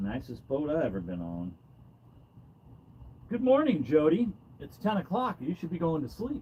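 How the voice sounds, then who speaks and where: Loud and fairly high-pitched, a man speaks at a moderate pace with very wide pitch swings and long, frequent pauses. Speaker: fishing livestreamer. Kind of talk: live stream chat. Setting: outdoors in a boat. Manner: casual.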